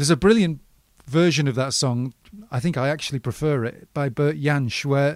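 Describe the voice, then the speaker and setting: At a moderate pace, a man speaks with a fairly high pitch in a normal speaking voice. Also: very clean recording, silent background. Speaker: podcast host. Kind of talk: interview.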